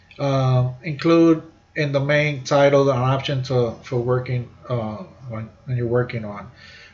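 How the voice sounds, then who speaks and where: With audible room echo, a man of medium pitch speaks very slowly and with fairly even intonation. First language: not English. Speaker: university instructor; army veteran. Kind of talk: lecture. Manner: halting, many fillers and repeats.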